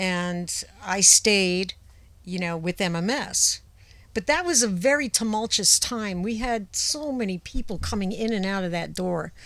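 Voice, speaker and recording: With a New England accent, a woman speaks at a fairly slow pace, her medium pitch showing ordinary variation. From Rhode Island, outside Providence. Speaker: former radio personality. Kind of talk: casual chat.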